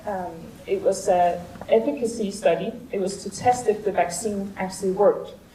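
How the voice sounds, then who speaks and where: A woman at a fairly slow pace and with fairly even intonation, amid noticeable background noise and audible room echo. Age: 30s. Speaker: vaccine trial participant. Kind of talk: conference talk. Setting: stage with audience. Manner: halting.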